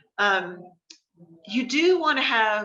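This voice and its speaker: A woman speaks with an American accent in a bright, sharp tone. Her pitch shows ordinary variation, with audible room echo. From New Jersey (Morris County, Trenton area). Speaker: marketing instructor, creative director. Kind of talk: online class lecture with Q&A. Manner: casual, many fillers.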